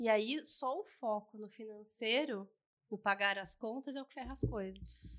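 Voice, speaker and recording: Here is a woman with an unremarkable speaking voice, fairly high pitch and ordinary pitch variation. She speaks at a fairly slow pace, with big swings in loudness. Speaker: podcast co-host and family constellation coach. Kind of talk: casual chat.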